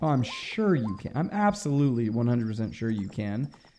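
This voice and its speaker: Noticeable background noise sits behind a man's voice. He speaks at a medium pitch with very wide pitch swings. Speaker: gaming comedy podcast co-host. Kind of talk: casual chat over gameplay. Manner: fast.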